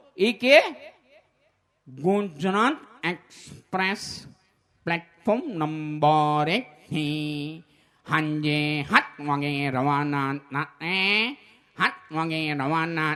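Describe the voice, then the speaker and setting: In a put-on character voice, the nasal speaker talks very slowly at a middle pitch. The recording is very clean, with a silent background. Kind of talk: announcement.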